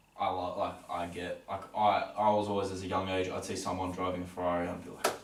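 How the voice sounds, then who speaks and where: Someone with an Australian accent talks at a very fast pace in a flat, monotone way. Noticeable background noise runs underneath. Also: man, very deep, low pitch for a man. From Australia, Melbourne. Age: young. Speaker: entrepreneur. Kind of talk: podcast interview.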